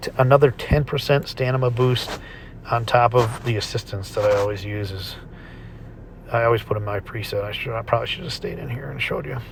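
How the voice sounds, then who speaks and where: A man at medium pitch and a moderate pace, with ordinary pitch variation and noticeable background noise. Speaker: gaming YouTuber. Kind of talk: gameplay tutorial. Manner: halting, many fillers.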